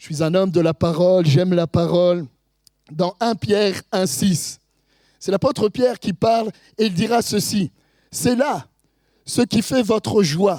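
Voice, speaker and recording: A man with a high, dark, mellow voice speaks at a fairly slow pace with lively intonation, in a dry, close sound with no echo. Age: 50s. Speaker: pastor. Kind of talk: sermon.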